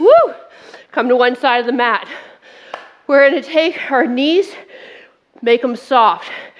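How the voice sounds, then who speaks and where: A woman's high-pitched voice with lively intonation at a very slow pace, music playing behind her. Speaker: fitness instructor. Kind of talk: workout class instruction. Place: studio.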